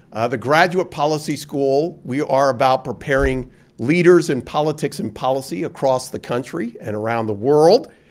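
A plain, everyday voice belongs to a man with a fairly high pitch and ordinary pitch variation. He goes at a moderate pace with hardly any pauses. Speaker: university dean and public policy speaker. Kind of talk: keynote lecture. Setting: stage with audience. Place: meeting room. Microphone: podium.

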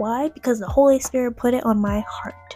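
With ordinary pitch variation and a moderate pace, a woman speaks in a dry sound with no echo while faint music plays in the background. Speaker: faith vlogger. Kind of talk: casual vlog chat. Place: home room.

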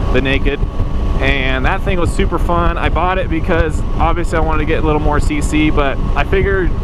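A man talks at a moderate pace. The sound is dry with no echo, but there is loud background noise. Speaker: motorcycle rider vlogger. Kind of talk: casual vlog chat. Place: motorbike. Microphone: helmet.

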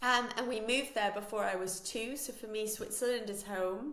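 A woman at a moderate pace, with a fairly bright tone, ordinary pitch variation, and audible room echo. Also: fairly high pitch for a woman.

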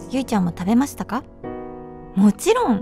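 Clear background music plays behind a woman's voice. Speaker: actress in a chocolate TV commercial. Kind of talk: ASMR whisper commercial. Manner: whispered, soft. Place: studio. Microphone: studio mic.

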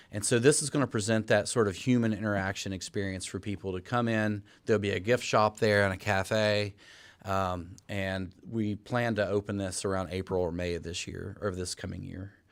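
A fairly low-pitched male voice with fairly even intonation. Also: very clean recording, silent background. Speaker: botanic garden director presenting to city council. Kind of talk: presentation to city council. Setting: city council chambers. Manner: fast.

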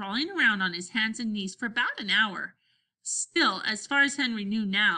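Someone reads aloud in a natural voice. Nothing else can be heard behind it.

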